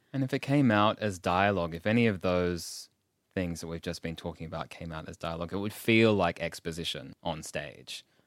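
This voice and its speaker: In an Australian accent, a man talks at a fairly quick pace, his pitch very deep and low with ordinary variation. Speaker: podcast host. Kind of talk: interview.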